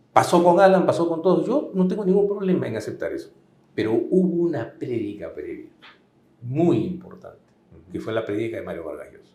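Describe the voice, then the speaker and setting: A man's fairly high voice, dark and mellow with vocal fry, moves through very wide pitch swings at a moderate pace amid audible room echo. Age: 60s. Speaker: political commentator. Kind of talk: political interview.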